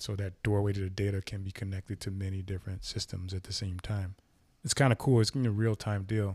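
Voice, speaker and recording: On a very clean recording with a silent background, a man with a fairly low pitch and a somewhat breathy voice speaks at a very fast pace with fairly even intonation. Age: 40s. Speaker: podcast host and entrepreneur. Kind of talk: solo casual monologue. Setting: alone in the city. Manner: halting, many fillers.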